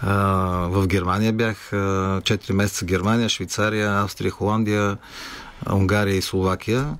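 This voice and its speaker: A man's fairly low voice at a fairly slow pace, monotone and flat, with very even loudness. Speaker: rock musician. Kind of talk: radio interview.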